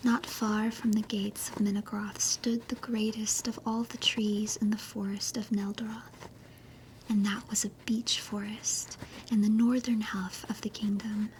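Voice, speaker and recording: A woman speaks in a gentle, soothing tone at a fairly high pitch, with monotone, flat intonation. Her pace is fairly slow, and there is noticeable background noise. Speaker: virtual YouTuber / ASMR streamer. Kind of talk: fantasy story reading. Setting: cozy bedtime, under the covers. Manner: slow, gentle, soothing.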